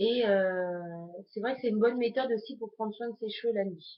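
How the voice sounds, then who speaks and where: Fairly high in pitch, a woman talks at a fairly quick pace. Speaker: beauty vlogger. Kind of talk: tutorial.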